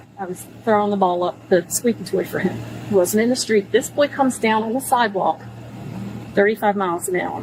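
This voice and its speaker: With noticeable background noise, a woman at a medium pitch speaks at a fairly quick pace with ordinary pitch variation. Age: 60s. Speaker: driver stopped by police. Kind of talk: confrontation with police. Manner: animated.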